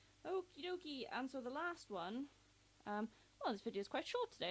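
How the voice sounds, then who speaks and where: A woman speaks in an English accent at a very fast pace. Her pitch swings very widely. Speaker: YouTuber. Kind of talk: casual vlog countdown. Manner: hesitant, many fillers.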